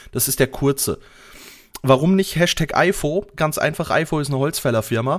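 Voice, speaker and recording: Moderately paced speech from a man, his pitch varying in a normal way. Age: 30s. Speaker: podcast co-host, IT support worker. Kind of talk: casual chat. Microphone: new microphone, RØDE NT-USB.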